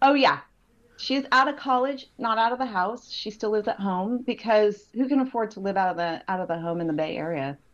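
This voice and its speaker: With a slight Southern California accent, a woman talks at a fairly quick pace and fairly high pitch, her intonation lively. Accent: slight Valley girl twang. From Southern California, San Fernando Valley. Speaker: pastor. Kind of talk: casual chat.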